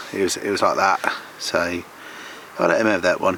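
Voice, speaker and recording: The speech moves at a moderate pace with fairly even intonation, over noticeable background noise. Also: man. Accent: southern English. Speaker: carp fishing vlogger. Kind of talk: casual vlog commentary. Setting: outdoors by a lake. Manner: quiet, hushed.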